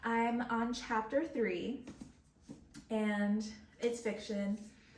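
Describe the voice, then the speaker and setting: Over audible room echo, a woman with a fairly high pitch speaks at a very slow pace in a somewhat breathy voice. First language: Spanish. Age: 20s. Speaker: book vlogger. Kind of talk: casual chat. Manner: hesitant, filler-heavy.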